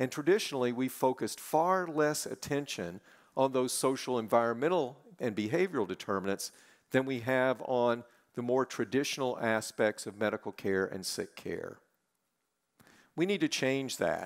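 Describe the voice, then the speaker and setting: Against a quiet background, a man talks at a moderate speed. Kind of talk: welcoming speech. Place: stage. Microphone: headset.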